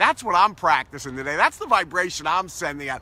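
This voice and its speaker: A man uses a raised, projected voice with a bright, sharp tone and very wide pitch swings. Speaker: positivity coach. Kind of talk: motivational talk to camera. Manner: upbeat, enthusiastic.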